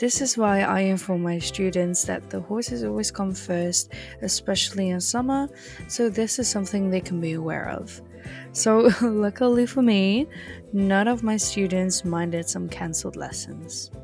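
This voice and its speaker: A woman with a European accent at a moderate pace, with music in the background. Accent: non-native English, European. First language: not English. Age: 20s. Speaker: video game roleplay content creator. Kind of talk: roleplay game narration.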